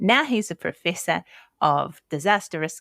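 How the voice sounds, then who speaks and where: With a New Zealand accent, a woman speaks at a moderate pace in a fairly low pitch with lively intonation, the sound dry and close with no echo on a very clean recording with a silent background. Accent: Kiwi. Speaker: podcast host. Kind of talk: interview. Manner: animated.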